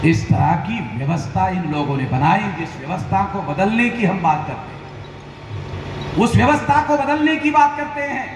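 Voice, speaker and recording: Amid noticeable background noise and audible room echo, a man with a high pitch speaks with very wide pitch swings. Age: 60s. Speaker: activist organisation leader. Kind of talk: political rally speech. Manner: repetitive oratory.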